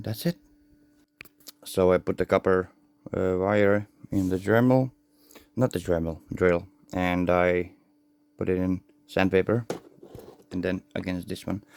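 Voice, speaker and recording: Speaking with a non-native accent, a man uses a very deep, low pitch, fairly even intonation and a fairly slow pace with long, frequent pauses, in a dry, close sound with no echo. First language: not English. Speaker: radio hobbyist tutorial maker. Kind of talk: hands-on tutorial. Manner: halting, self-correcting.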